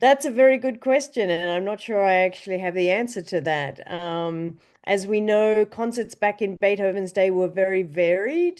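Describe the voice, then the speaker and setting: A woman speaks with an Australian accent and hardly any pauses. Her pitch varies in an ordinary way over a quiet background. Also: medium pitch for a woman, moderate pace. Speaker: orchestra conductor. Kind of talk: interview.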